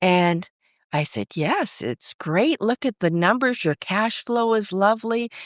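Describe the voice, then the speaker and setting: Canadian-accented, a woman with a normal speaking voice talks at a fairly slow pace in a medium pitch with lively intonation. The recording is very clean with a silent background, dry and close with no echo. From Vancouver, Canada. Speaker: financial advisor. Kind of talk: interview.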